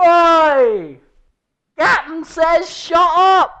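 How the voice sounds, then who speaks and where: In a gruff, put-on character voice, the speaker shouts at an extremely high pitch. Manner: shouting, gruff.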